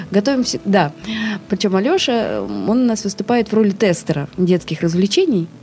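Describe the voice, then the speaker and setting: A woman talks at a moderate pace and medium pitch, with ordinary pitch variation. Her loudness stays very even, and there is noticeable background noise. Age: 30s. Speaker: actress. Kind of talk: interview. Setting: studio.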